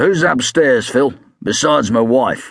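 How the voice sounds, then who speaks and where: Using a put-on character voice, a man speaks in a raspy tone at medium pitch, with lively intonation and a moderate pace. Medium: read story. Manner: gruff, sardonic.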